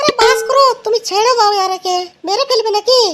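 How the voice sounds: Squeaky and cartoonish, this character voice moves at a moderate pace. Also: woman, extremely high pitch for a woman, ordinary pitch variation.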